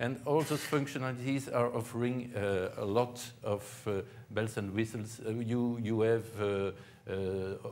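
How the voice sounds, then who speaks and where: Fairly slow speech with fairly even intonation carries an audible room echo. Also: man, medium pitch for a man. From Belgium. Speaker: tech conference speaker. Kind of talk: conference talk. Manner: halting, many fillers.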